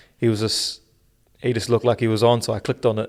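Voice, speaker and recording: A man talks with a New Zealand accent. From New Zealand (Auckland), born in South Africa. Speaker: podcast co-host. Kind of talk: casual chat.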